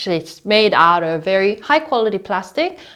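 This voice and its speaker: A woman's voice is heard. Her speech moves fairly slowly. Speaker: tech reviewer. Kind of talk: product review. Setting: outdoors. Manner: loud. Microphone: recorded through earbud mic over phone call.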